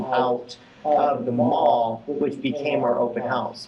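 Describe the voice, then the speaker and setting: A man with an American accent, medium pitch and ordinary pitch variation, amid noticeable background noise. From New York. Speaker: real estate agent. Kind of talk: business talk to peers.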